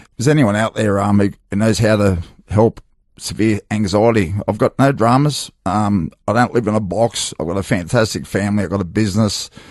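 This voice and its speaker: There is ordinary pitch variation as this man speaks at a fairly low pitch. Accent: Australian. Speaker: former rugby league player, gym owner. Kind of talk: radio interview. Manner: fast, halting.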